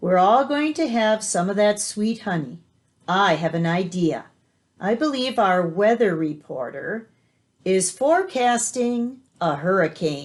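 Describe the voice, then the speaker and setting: A woman's put-on character voice at a medium pitch and a fairly slow pace. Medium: read story.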